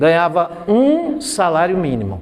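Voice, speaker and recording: This is a man speaking. His voice has a high pitch for a man. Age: 60s. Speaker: math teacher. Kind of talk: classroom lecture.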